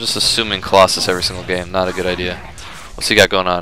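Noticeable background noise sits under a man's fairly low voice. He talks at a very fast pace. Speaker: gaming commentator playing Starcraft. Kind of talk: live gameplay commentary, narrating his own play as he goes. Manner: animated, excitable, fast, reacting out loud; casual, joking, self-talking, swears.

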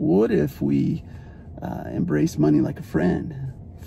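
Man with an American accent at a fairly slow pace, over light background noise. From Arizona, USA. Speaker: spoken word poet. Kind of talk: casual talk to camera. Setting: in a car. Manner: upbeat, friendly. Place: car. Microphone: phone near.

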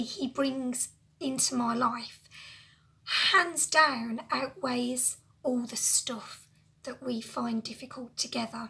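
A woman's high-pitched voice at a very slow pace. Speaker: lifestyle vlogger. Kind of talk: casual talk to camera. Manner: emotional, personal. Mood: emotional, reflective. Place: home room. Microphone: phone near.

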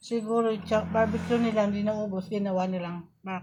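A woman with a medium-pitched voice talks at a moderate pace in a monotone, flat intonation. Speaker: vlogger. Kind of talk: mukbang vlog, casual talk to camera.

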